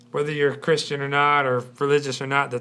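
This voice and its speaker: A man speaks loudly at a medium pitch. His tone is bright and sharp. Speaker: church talk show host. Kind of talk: live panel discussion. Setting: live-streamed studio show.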